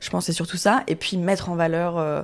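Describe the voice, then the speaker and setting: A woman speaks at fairly low pitch in a flat monotone. The recording is very clean, with a silent background. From Paris suburbs, France. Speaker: chef and restaurant owner. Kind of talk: panel discussion. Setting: recorded in a café.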